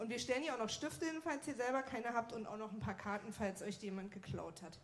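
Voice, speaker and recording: A woman with a normal speaking voice talks at a fairly quick pace in a fairly high pitch with lively intonation. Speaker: show announcer. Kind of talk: live announcement. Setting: stage with audience.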